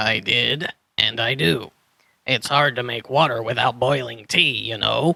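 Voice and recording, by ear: A man's put-on character voice, medium in pitch, bright and sharp in tone, with vocal fry, ordinary pitch variation and a fairly slow pace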